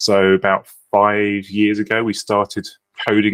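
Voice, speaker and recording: A man at a fairly low pitch, in a dry, close sound with no echo. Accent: British. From United Kingdom. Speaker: software founder. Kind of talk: podcast interview.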